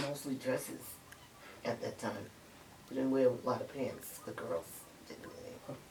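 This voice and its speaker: With a New York accent, a woman talks at a moderate pace with lively intonation. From Harlem, New York City. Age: 70s. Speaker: grandparent interviewee. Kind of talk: interview.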